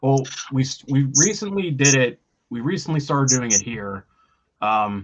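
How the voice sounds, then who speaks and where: A man speaks with a Pittsburgh accent. His pace is moderate. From Pittsburgh, Pennsylvania. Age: 30s. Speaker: rock band vocalist. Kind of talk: casual interview chat.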